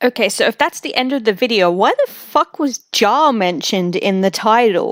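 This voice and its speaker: At a moderate pace, a woman with a fairly high pitch talks with lively intonation in a dry, close sound with no echo. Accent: Australian. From Australia. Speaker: streamer reacting to videos. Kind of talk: live stream reaction commentary.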